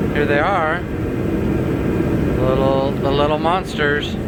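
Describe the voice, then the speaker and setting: A man's fairly high voice with fairly even intonation and noticeable background noise. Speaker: vlogger, indoor grower. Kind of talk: casual vlog talk to camera. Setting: warehouse. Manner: rambling with many fillers and repetitions; loud.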